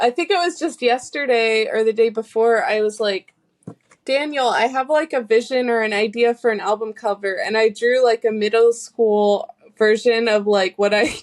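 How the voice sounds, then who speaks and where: With an American accent, a woman talks in a plain, everyday voice, fairly high in pitch with ordinary pitch variation. The pace is moderate, and the sound is dry and close with no echo. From US South, North Carolina. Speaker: singer-songwriter. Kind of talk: casual interview chat.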